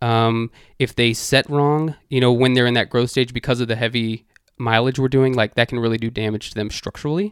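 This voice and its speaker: A man with an American accent and a plain, everyday voice, medium pitch, fairly even intonation and a fairly quick pace, on a very clean recording with a silent background. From Texas, Dallas. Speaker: dog running business owner. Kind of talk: casual interview.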